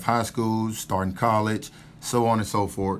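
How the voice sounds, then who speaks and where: This man speaks with a Southern US accent at a fairly low pitch. His intonation is fairly even and his pace moderate. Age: 30s. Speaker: army officer. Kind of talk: casual chat.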